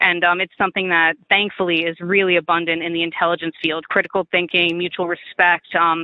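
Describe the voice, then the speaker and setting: With a Long Island accent, a woman talks at a fairly quick pace and a fairly low pitch. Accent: Long Island, New York. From Stony Brook, New York. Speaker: Marine Corps veteran, former intelligence linguist. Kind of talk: oral history interview answer.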